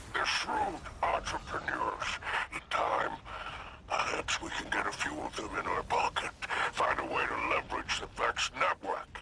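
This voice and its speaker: Over light background noise, a man does a put-on character voice at a moderate pace. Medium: video game. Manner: theatrical, flowery.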